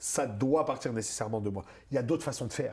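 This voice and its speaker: In a somewhat breathy voice, a man speaks with an energetic, warm tone. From Moroccan-born, raised in North America. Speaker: stand-up comedian. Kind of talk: interview answer. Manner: energetic, warm, friendly.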